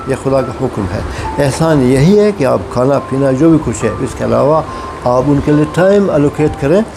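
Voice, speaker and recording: Over music in the background, a man speaks at a moderate pace with a fairly high pitch and ordinary pitch variation. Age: 70s. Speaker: vlogger. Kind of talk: casual talk to camera. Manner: halting.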